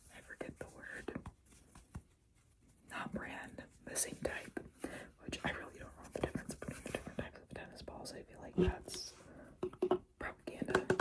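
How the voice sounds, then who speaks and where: Whispering woman at a moderate pace, with long, frequent pauses, big swings in loudness and noticeable background noise. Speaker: tennis player. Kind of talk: ASMR show-and-tell to camera. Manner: whispered, soft-spoken.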